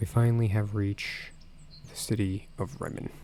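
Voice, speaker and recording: A man speaks quietly at a fairly slow pace, his medium-pitched voice somewhat breathy with a dark, mellow tone and fairly even intonation. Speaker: gaming video creator. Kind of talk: reading game dialogue aloud; let's play commentary. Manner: quiet, kept down.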